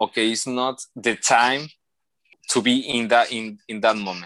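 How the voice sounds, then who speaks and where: Speaking with a Mexican accent, a man has a bright, sharp tone. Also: quiet background. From Mexico. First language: Spanish. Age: 20s. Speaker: engineer and photographer. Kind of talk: interview. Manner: halting.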